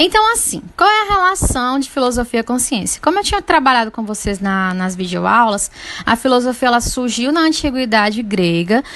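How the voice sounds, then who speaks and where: Over noticeable background noise, a woman with a high pitch speaks at a moderate pace with very wide pitch swings and hardly any pauses. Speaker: teacher. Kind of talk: lecture.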